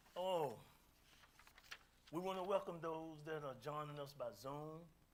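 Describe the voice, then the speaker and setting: A man talks fairly slowly, his voice ringing with audible room echo. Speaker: speaker, musician. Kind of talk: talk to audience. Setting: community meeting hall, streamed on Zoom. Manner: loud.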